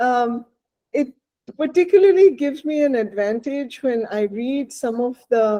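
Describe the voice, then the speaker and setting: In a Bengali accent, a woman speaks at a high pitch and a fairly slow pace. Her tone is dark and mellow, and her intonation is lively. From India, Bengal. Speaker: novelist. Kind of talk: interview.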